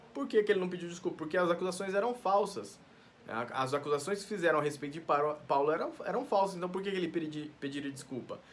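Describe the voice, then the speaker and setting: Talking at a very fast pace, a man uses lively intonation at a high pitch. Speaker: pastor teaching Bible study. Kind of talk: Bible study teaching. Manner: halting, with frequent self-corrections.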